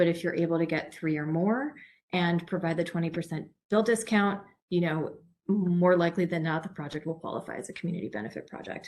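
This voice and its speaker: A woman's fairly low-pitched voice at a fairly quick pace. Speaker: program presenter. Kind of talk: webinar presentation. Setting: online webinar. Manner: fast.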